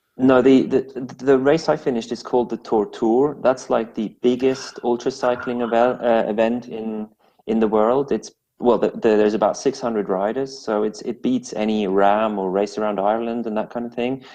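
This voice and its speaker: A man's dark, mellow voice at medium pitch, with a moderate pace and fairly even intonation. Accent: Swiss French. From Switzerland, French-speaking part, English mother. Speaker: amateur and esports cyclist. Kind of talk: interview. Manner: halting, many repeats and fillers.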